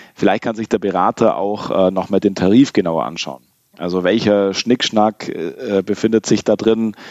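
A man with a normal speaking voice talks in a fairly low pitch. His pace is moderate and his pitch variation ordinary. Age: 30s. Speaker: insurance broker, managing director. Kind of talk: podcast interview.

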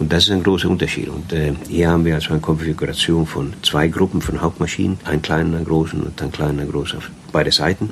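Over noticeable background noise, a man with a very deep, low pitch speaks at a very fast pace in a monotone, flat intonation. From Sweden. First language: Swedish (speaking German). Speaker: cruise ship captain. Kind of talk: interview.

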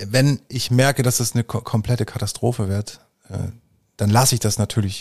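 A somewhat breathy man at a medium pitch, fairly quick and fairly even in intonation, with a dry, close sound, no echo and a very clean recording with a silent background. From rural Germany, grew up on a farm. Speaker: painter. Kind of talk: casual interview.

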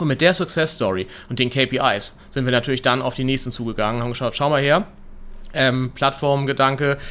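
A man with a bright, sharp tone, medium pitch, ordinary pitch variation and a fairly quick pace. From Hamburg, northern Germany. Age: 30s. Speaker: entrepreneur, company director. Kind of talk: interview. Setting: in person, same room.

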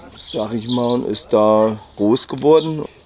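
A man speaks at a very slow pace, his pitch medium with ordinary variation. Noticeable background noise runs underneath. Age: 50s. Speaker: cousin of a crime victim. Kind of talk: interview. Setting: outdoors on a terrace at his home. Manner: halting.

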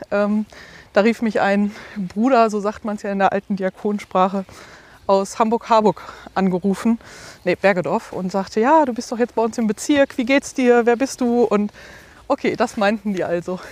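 A woman with a fairly high pitch and ordinary pitch variation speaks at a moderate pace with long, frequent pauses, the sound dry and close with no echo but with noticeable background noise. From Ruhr area, Germany. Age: 30s. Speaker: deacon. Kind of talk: interview.

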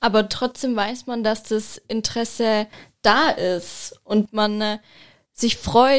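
A woman's normal speaking voice, fairly high in pitch, with fairly even intonation. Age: 20s. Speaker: visual merchandising designer. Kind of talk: casual chat.

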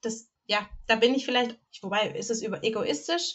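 With a normal speaking voice, a woman talks at a moderate pace, her pitch fairly high and its variation ordinary. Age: 30s. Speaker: podcast co-host. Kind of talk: casual chat.

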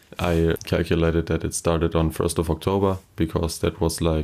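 This man's pitch is very deep and low. He speaks at a moderate pace with a German accent. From Germany, Kleve area. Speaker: first-semester student. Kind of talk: interview.

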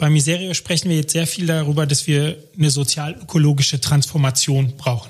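A man talks at a fairly quick pace with hardly any pauses, his pitch fairly high and his voice somewhat breathy. His intonation is fairly even. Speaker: aid organization education expert. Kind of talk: interview.

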